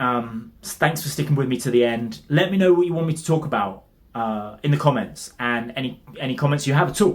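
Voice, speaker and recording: With a British accent, a somewhat breathy man speaks with hardly any pauses, his fairly high pitch varying in an ordinary way. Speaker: fitness coach. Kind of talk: tutorial. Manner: fast.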